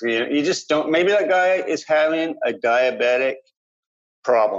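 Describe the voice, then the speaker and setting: In a Canadian accent, a man uses an ordinary speaking voice at a fairly high pitch, with lively intonation and a fairly slow pace. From Vancouver Island, Canada. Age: 50s. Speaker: peer supporter with lived mental illness. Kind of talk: interview.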